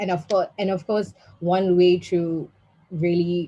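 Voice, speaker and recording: A woman's somewhat breathy voice, fairly low in pitch, with a dark, mellow tone. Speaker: policy analyst, panel speaker. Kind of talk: webinar presentation. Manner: fast.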